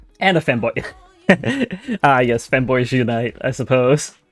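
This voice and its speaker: Over music in the background, the speaker uses lively intonation at a moderate pace. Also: man. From Denmark. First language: Danish. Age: 30s. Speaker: art streamer. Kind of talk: casual livestream chat while drawing. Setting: live stream.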